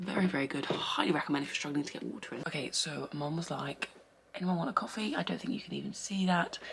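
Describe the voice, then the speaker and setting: Noticeable background noise accompanies a voice with an English accent and ordinary pitch variation. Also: woman. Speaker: fitness vlogger and online coach. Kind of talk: casual vlog. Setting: at home. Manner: whispering.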